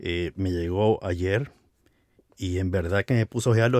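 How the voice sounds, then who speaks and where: An ordinary speaking voice from a man, fairly slow in pace with ordinary pitch variation, in a dry, close sound with no echo. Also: very clean recording, silent background. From Americas, across the Atlantic from Spain. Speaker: podcast host. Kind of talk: casual interview. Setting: home closet studio.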